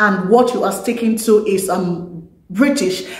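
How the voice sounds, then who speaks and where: Audible room echo fills the space around a woman. She has a fairly high pitch with ordinary variation. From Nigeria. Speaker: YouTuber; vlogger. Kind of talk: vlog talk to camera. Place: home room.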